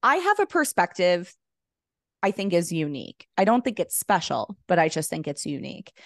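A woman with an unremarkable speaking voice talks at medium pitch and a moderate pace with lively intonation. The sound is dry and close with no echo, over a quiet background. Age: 40s. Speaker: online entrepreneur. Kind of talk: casual chat.

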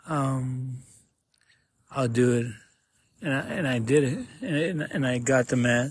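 A man's somewhat breathy voice in an American accent, medium in pitch, at a fairly slow pace with long, frequent pauses and fairly even intonation. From Arizona, Tucson. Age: 30s. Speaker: podcaster in addiction recovery. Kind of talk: personal testimony. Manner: halting.

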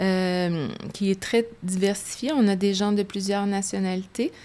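A woman with a medium pitch and fairly even intonation is heard in a very clean recording with a silent background. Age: 50s. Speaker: business executive. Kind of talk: interview. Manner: halting.

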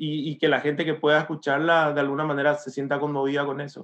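The speaker talks at a fairly quick pace. The intonation is flat and monotone. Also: man. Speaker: writer and metal musician. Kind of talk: interview.

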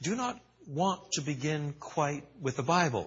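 A man speaks at a very slow pace. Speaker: theologian lecturer. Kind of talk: lecture. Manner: repetitive stammering restarts.

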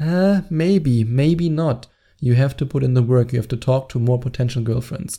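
A somewhat breathy voice with a German accent and a dark, mellow tone. It moves at a moderate pace with ordinary pitch variation. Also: man, medium pitch for a man. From Germany. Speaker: dating coach. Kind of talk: solo podcast monologue. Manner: animated.

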